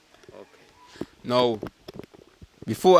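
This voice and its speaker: A man's voice over noticeable background noise. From St Kitts. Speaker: interviewer. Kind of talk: field interview.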